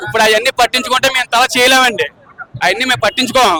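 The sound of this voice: A man talks very fast at an extremely high pitch. His tone is bright and sharp, the sound dry and close with no echo.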